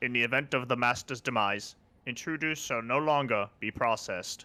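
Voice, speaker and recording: In a put-on character voice, a man talks at a moderate pace and medium pitch on a very clean recording with a silent background. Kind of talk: formal, mechanical.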